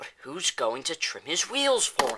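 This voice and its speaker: Raspy and fairly slow, a man speaks in a put-on character voice. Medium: read story.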